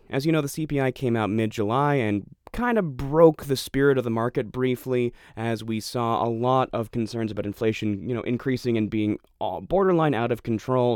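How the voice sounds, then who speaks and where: His pace is fairly quick. The man's pitch shifts in an ordinary way. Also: medium pitch for a man. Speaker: podcast host. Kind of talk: solo monologue on markets and economy. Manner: calm, methodical.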